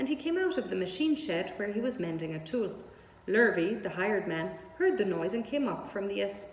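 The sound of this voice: The delivery is an unforced reading voice. Nothing about it sounds pushed.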